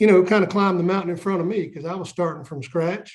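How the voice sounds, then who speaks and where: In a Southern US accent, a man is speaking. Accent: Southern US (Georgia). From US South, Southeast Georgia. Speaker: onion farmer. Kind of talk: casual interview.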